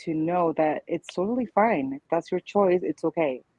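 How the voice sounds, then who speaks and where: A woman with a Spanish accent, very deep, low pitch, ordinary pitch variation and a moderate pace. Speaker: childfree community founder, panelist. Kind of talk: panel discussion.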